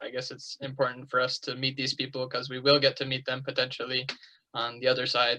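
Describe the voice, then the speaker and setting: The voice has a bright, sharp tone and monotone, flat intonation, moving at a fairly quick pace. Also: man. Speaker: missionary student. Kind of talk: class discussion. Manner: hesitant, many fillers.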